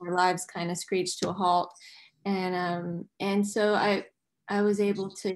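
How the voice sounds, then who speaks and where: Flat and monotone in intonation, a woman with an American accent speaks at a fairly slow pace. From US South, Nashville, Tennessee; Tennessee. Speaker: musician and actress; interview guest. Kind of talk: casual chat. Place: home room. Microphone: video call.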